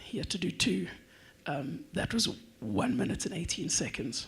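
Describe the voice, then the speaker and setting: Someone whispers at a moderate pace. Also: man. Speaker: drone racing organizer. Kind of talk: presentation. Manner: whispering.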